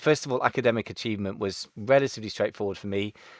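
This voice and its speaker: A man speaks very fast in a Gloucester accent. The recording is very clean with a silent background, and the sound is dry and close with no echo. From Gloucester, west of England. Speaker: Amazon seller consultant and podcaster. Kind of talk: interview. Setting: podcast interview.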